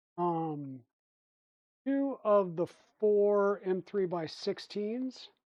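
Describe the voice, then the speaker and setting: Mumbling at a very slow pace with long, frequent pauses, a woman with a medium-pitched voice sounds relaxed in tone, her intonation lively. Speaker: 3D printing streamer. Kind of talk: casual live-stream build tutorial. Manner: relaxed, thinking aloud; mumbling to himself.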